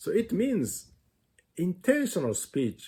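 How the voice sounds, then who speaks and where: A man with a non-native accent speaks in a dark, mellow, somewhat breathy voice. The recording is very clean, with a silent background. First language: not English. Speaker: music teacher. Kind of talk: lecture.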